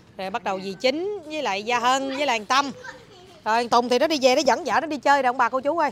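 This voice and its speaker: Fairly quick and high-pitched, a woman's voice comes through dry with no echo and light background noise. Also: lively intonation. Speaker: vlogger. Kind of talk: casual vlog chat. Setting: outdoors at a resort. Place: street.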